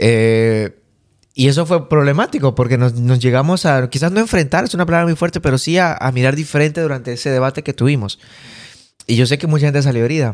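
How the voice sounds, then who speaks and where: A man speaking very fast at a fairly high pitch, on a very clean recording with a silent background. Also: ordinary pitch variation. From Bolivia. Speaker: podcast host. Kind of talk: casual chat.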